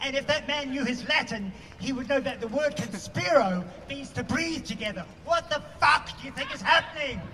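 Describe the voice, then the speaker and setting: A man with a New Zealand accent, his raised, projected voice extremely high in pitch, at a moderate pace with lively intonation amid noticeable background noise. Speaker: protest speaker, activist. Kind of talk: protest speech. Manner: loud, impassioned.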